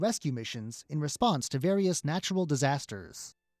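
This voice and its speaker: A man talks at a fairly quick pace with very wide pitch swings, the sound dry and close with no echo on a very clean recording with a silent background. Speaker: radio news anchor. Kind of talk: crisp broadcast newsreading of policy and pay-raise headlines. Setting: studio. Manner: measured, even-paced and formal, neutral anchor delivery.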